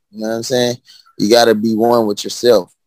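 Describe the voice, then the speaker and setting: Speaking at a fairly quick pace, a man has a Southern US accent and medium pitch. The sound is dry and close, with no echo. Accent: US South. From Birmingham, Alabama. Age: 30s. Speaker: rapper. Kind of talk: casual interview chat.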